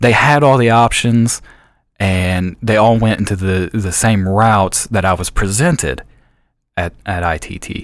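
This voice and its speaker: His pace is fairly slow. The man's pitch shifts in an ordinary way. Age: 20s. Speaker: IT professional, former student. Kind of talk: interview.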